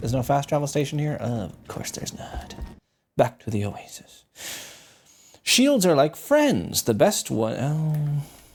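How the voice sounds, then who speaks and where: A man with an Irish accent speaks at a fairly high pitch with lively intonation and a somewhat breathy voice. His pace is fairly slow, broken by long, frequent pauses. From Ireland. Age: 30s. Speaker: gaming streamer. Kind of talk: casual gameplay commentary.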